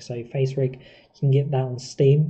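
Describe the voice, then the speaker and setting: A man's somewhat breathy voice in a southern English accent, with monotone, flat intonation at a moderate pace. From southern England. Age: 30s. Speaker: live streamer. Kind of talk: casual chat. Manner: halting.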